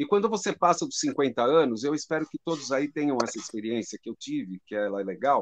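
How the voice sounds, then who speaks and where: A man's fairly high, normal speaking voice, dry and close with no echo, over a quiet background. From Brazil, São Paulo. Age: 60s. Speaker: drum teacher. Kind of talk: conversation on a live stream.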